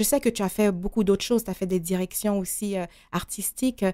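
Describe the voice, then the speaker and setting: This voice belongs to a woman. It has a dark, mellow tone. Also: very clean recording, silent background. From Haiti. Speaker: radio host. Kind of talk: radio interview.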